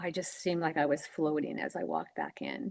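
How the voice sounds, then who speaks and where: The speech moves at a moderate pace with fairly even intonation. Vocal fry is present. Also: woman. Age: 70s. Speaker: author. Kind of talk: interview. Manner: halting.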